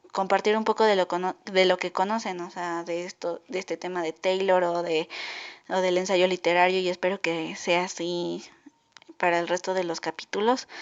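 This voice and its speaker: At a moderate pace, a woman speaks with a medium pitch and a monotone, flat intonation. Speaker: podcaster. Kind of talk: casual podcast monologue. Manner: halting.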